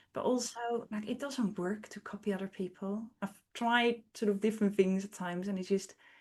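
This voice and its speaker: A woman with a non-native accent talks at a moderate pace and a medium pitch, somewhat breathy and with hardly any pauses. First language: not English. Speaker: artist and educator. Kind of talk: interview.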